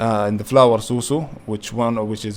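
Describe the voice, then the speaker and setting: A man with a fairly low pitch keeps his intonation fairly even. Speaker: youtuber explaining savings platforms. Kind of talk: tutorial. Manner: fast; halting, many fillers.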